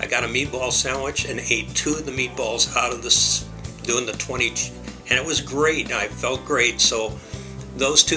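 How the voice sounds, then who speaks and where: A man talks at a moderate pace. Clear music can be heard behind him. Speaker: bariatric surgery patient. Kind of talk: patient testimonial. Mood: positive, upbeat. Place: office. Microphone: webcam.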